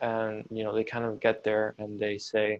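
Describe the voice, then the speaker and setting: A man talks at a moderate speed, his pitch sitting in the medium range. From Venezuela, Caracas. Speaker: university student. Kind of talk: interview.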